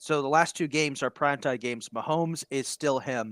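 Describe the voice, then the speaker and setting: In a plain, everyday voice, a man talks at a fairly quick pace with ordinary pitch variation, the sound dry and close with no echo in a very clean recording with a silent background. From United States. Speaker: sports podcast host. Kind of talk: casual chat.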